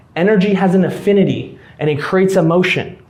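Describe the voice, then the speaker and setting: A man with a high pitch at a moderate pace, with audible room echo and noticeable background noise. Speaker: YouTube business coach. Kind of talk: live presentation to a room. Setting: room with live audience.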